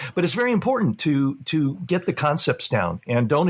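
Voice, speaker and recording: A man speaks with a Californian accent. His intonation is lively. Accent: General American, Californian. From Los Angeles, US West Coast. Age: 60s. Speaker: real estate photographer. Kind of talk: podcast interview. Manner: halting, many fillers.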